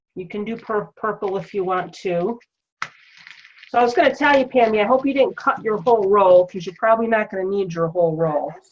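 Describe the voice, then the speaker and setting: Using an ordinary speaking voice, a woman talks at a fairly quick pace with a medium pitch and lively intonation. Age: 50s. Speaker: wreath-making craft tutor. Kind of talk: craft tutorial with casual chat. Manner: chatty, conversational.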